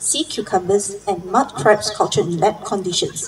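Some light noise sits behind a woman who speaks at an even, middling pace. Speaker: event MC. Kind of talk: formal speaker introduction. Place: garden. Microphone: handheld.

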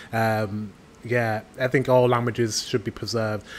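A man with a British accent at a moderate pace. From United Kingdom. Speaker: YouTube reactor. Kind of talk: casual reaction commentary. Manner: upbeat. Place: home room.

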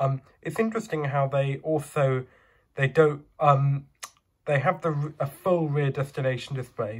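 With a fairly high pitch and fairly even intonation, a man speaks in a somewhat breathy voice at a moderate pace. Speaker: model bus reviewer. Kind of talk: product review. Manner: hesitant, many fillers.

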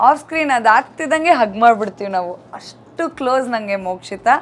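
Here a woman talks with a fairly high pitch. Her intonation is lively. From Bangalore, India; India. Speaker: TV actress and YouTuber; TV actress, YouTuber. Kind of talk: casual Q&A vlog. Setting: on set during makeup before a shoot. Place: office. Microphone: lapel.

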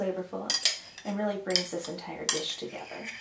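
A woman against loud background noise. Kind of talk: tutorial. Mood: cheerful, relaxed.

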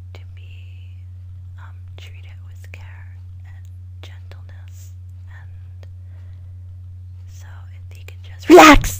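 Amid noticeable background noise, a woman with a very deep, low pitch speaks at a very slow pace in a monotone, flat intonation, with long, frequent pauses. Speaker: ASMR creator. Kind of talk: ASMR relaxation talk. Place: home room. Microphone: webcam.

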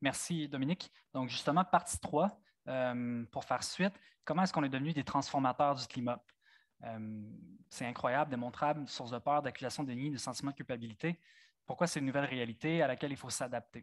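In a very clean recording with a silent background and a dry, close sound with no echo, a man with an unremarkable speaking voice talks at a fairly quick pace, medium in pitch with ordinary pitch variation. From Franco-Ontario (eastern Ontario). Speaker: nature photographer. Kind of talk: public talk with slides. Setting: amphitheatre with live audience.

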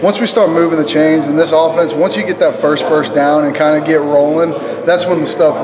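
A man's intonation stays fairly even beneath noticeable background noise. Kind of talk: interview answer. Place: hall.

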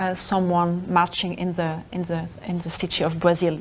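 Against light background noise, a woman at medium pitch speaks at a moderate pace. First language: not English; works in Spanish and Portuguese. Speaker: researcher presenting a lecture. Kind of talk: lecture. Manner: halting. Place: classroom.

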